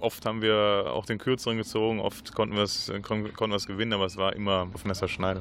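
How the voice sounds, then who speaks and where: With fairly even intonation, the speaker goes on with hardly any pauses. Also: man, fairly low pitch for a man, fairly quick pace. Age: 30s. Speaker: field hockey player. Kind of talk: radio interview. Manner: halting, many repetitions.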